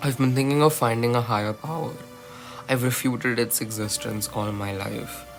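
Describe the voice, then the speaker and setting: A man speaks at medium pitch and a moderate pace with fairly even intonation. Music plays in the background. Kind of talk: poetry reading. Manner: sleepy, early-morning.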